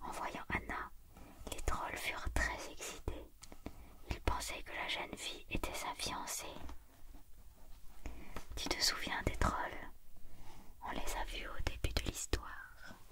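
Long, frequent pauses break up speech delivered at a very slow pace. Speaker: storybook reader. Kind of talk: reading a children's story aloud. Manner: soft whispered storytelling, ASMR style.

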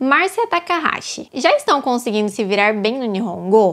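A woman talks at a moderate pace in a high voice, her pitch swinging very widely. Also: quiet background. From Brazil. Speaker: YouTuber, factory worker abroad. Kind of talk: Q&A vlog. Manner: casual. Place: home room. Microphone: lapel.

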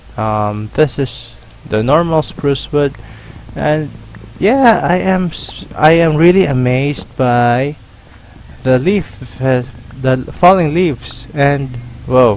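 A man's fairly high voice at a very slow pace, with ordinary pitch variation, long, frequent pauses and noticeable background noise. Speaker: gaming YouTuber. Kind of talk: gameplay commentary. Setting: solo recording at computer. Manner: halting, filler-heavy.

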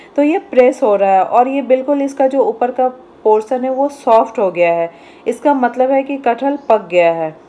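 A high-pitched woman speaks at a moderate pace. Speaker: home cooking channel host. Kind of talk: tutorial. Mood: calm, instructive. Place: kitchen.

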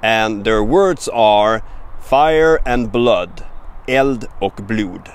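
The speech moves at a very slow pace, and the sound is dry with no echo. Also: man. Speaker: language teacher. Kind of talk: tutorial. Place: forest. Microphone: phone near.

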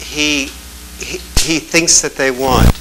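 Behind the talking, background noise is noticeable. The speaker is a man. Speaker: talk show guest. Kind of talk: interview answer. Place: studio.

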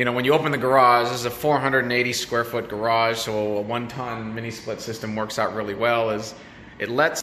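A man talks at a fairly quick pace with fairly even intonation. There is audible room echo and light background noise. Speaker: homeowner vlogger. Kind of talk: casual vlog chat. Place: garage. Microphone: phone near.

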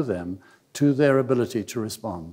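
A man's dark, mellow tone at a moderate pace, over a quiet background. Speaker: conference lecturer. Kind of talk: lecture. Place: hall. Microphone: podium.

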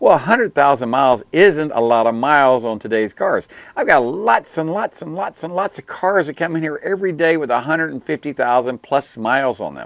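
Moderate pace, dry sound with no echo, quiet background. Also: man, lively intonation, hardly any pauses. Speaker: auto technician show host. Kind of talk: commentary. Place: studio. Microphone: lapel.

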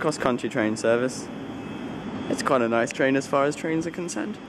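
A man's fairly brisk speech comes through with clear background noise. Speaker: traveller vlogger. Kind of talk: casual vlog chat. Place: station. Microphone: phone near.

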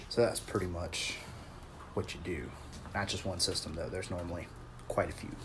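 Against noticeable background noise, a man speaks in a very deep, low pitch with monotone, flat intonation. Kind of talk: casual work vlog chat. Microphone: phone near.

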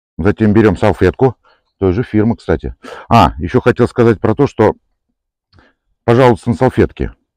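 Long, frequent pauses break up this moderately paced speech, which has vocal fry and ordinary pitch variation, recorded dry with no echo against a quiet background. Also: man, fairly low pitch for a man. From Moscow Oblast, Russia. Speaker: car detailing enthusiast, product reviewer. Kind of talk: product demonstration tutorial. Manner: casual, conversational. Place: open country.

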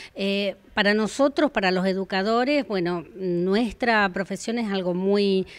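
A woman speaking at a fairly slow pace. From Argentina. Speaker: adult educator. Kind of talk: interview. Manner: hesitant, with filler 'eh' and repetitions. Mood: warm, earnest, proud. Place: hall. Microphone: handheld.

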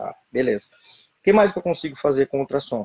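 A man's dark, mellow voice with ordinary pitch variation, dry with no echo against a quiet background. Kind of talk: lecture. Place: home room. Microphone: webcam.

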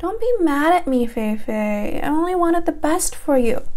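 A put-on, female-sounding character voice, extremely high in pitch and whiny in tone, at a moderate pace over noticeable background noise. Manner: whiny, pouty, childish.

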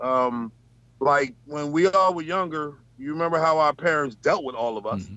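In a dry sound with no echo, a man with an American accent speaks at a moderate pace and fairly high pitch, with ordinary pitch variation and big swings in loudness. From Bronx, New York; New York. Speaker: truck driver; panelist. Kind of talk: casual chat. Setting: video call from his truck. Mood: candid, animated. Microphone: video call.

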